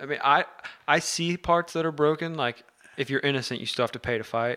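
This man's voice has a bright, sharp tone. His pitch varies in an ordinary way. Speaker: podcast host. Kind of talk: casual chat.

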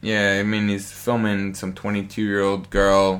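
A man's fairly low voice in an American accent at a very slow pace. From Colorado, US. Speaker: DJ and music producer. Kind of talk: casual chat.

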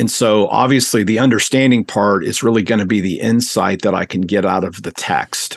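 A man with an ordinary speaking voice, fairly low in pitch, at a fairly quick pace. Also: fairly even intonation, hardly any pauses. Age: 50s. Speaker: seminary professor of biblical studies. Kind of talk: interview about his book.

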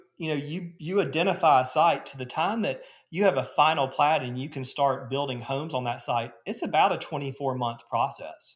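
A man's somewhat breathy, fairly high voice with an Alabama accent, lively intonation and a moderate pace. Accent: US Southern (Alabama). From Alabama (Gadsden). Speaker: real estate developer. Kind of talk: interview.

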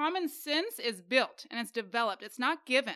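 A woman's raised, projected voice has a high pitch and a bright, sharp tone, caught in a very clean recording with a silent background. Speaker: podcast host and social worker. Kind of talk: casual conversational podcast discussion with faith themes.

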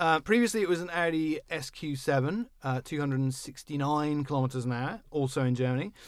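A normal speaking voice moves at a fairly quick pace with hardly any pauses. Pitch variation is ordinary. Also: man, fairly high pitch for a man. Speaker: car podcast host. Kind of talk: casual chat. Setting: studio. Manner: joking, self-deprecating.

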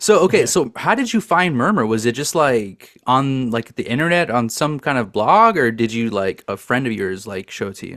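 With hardly any pauses, a man speaks in a normal speaking voice at a moderate pace and medium pitch, his intonation lively. The recording is very clean, with a silent background. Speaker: podcast host. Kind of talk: casual chat.

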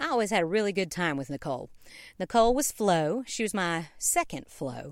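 A woman with a Southern US accent and lively intonation, on a very clean recording with a silent background. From US South, Knoxville, Tennessee. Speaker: podcast host, musical writer and performer. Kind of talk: casual storytelling.

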